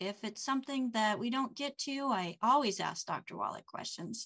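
A woman speaks in a raised, projected voice, high-pitched with a bright, sharp tone and lively intonation. Her pace is moderate, and the background is quiet. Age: 50s. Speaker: show host and health school director. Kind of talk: live stream hosting. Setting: video call.

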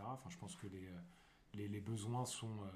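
A man with a fairly low voice talks at a moderate pace with ordinary pitch variation. Noticeable background noise and audible room echo fill the recording. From Paris, France. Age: 30s. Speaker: digital worker. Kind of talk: casual chat.

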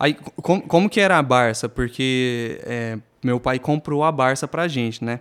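A man with a normal speaking voice, medium pitch, ordinary pitch variation, and a fairly slow pace. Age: 20s. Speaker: podcast co-host. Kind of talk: casual chat.

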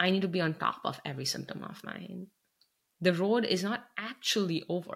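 The voice belongs to a woman and is somewhat breathy. She keeps a moderate pace. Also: medium pitch for a woman, ordinary pitch variation. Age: 30s. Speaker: podcast host and cancer survivor. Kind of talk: interview. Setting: remote call from home office.

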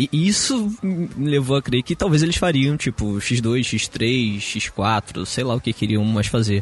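A man of medium pitch speaks at a very slow pace with lively intonation, very even loudness and hardly any pauses. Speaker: tech podcast co-host. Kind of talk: casual chat. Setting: recording on a balcony.

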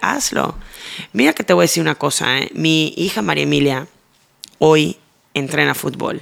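A woman's voice with vocal fry at a fairly slow pace. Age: 40s. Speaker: TV presenter. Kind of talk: interview.

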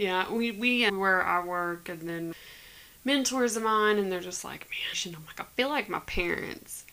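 At a fairly slow pace, a woman speaks in a bright, sharp tone with ordinary pitch variation. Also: medium pitch for a woman, big swings in loudness. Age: 30s. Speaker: podcast co-host. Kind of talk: casual chat.

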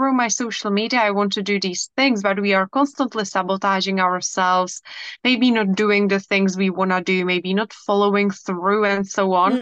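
A woman with a Czech accent speaks at a fairly quick pace in a medium pitch, with hardly any pauses, very even loudness and fairly even intonation against a quiet background. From Czech Republic. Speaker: hypnotherapist and coach. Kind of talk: casual interview.

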